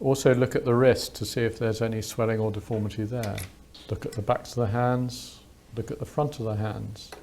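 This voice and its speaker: With a British accent, a man speaks at a medium pitch and moderate pace in a flat monotone. His tone is dark and mellow, and somewhat breathy. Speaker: doctor, clinical teacher. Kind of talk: medical teaching demonstration, unintentional ASMR.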